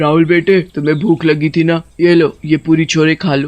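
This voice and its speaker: A man puts on a cartoonish character voice. His intonation is monotone and flat. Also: fairly high pitch for a man, moderate pace. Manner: cackling.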